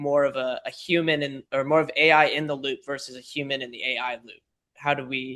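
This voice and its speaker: A man's bright, sharp voice, fairly high in pitch, moves at a fairly quick pace with monotone, flat intonation. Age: 20s. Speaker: business podcast guest, AI practitioner. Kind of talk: casual interview conversation. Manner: halting, many fillers.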